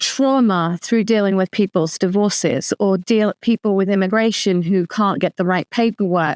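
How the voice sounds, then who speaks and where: A woman talks with a London accent and ordinary pitch variation. The sound is dry and close, with no echo. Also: quiet background. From London, England. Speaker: author and lawyer. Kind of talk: interview.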